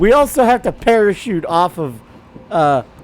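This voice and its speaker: Noticeable background noise runs through the clip. The man talks at a moderate pace. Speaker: gaming video creator. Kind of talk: let's play commentary. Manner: casual, hesitant with many fillers. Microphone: microphone had setup problems.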